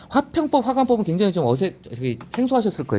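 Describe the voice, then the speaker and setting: With vocal fry and a dark, mellow tone, a man talks at a very fast pace through very wide pitch swings. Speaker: newspaper editorial commentator. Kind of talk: reading and commenting on newspaper editorials. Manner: casual explanatory, self-correcting.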